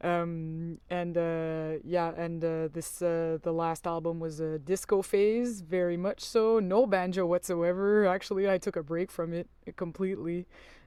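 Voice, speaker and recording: A woman with a French accent speaks at a fairly slow pace, her fairly low voice following a fairly even intonation. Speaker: musician. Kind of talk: interview. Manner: halting, many fillers.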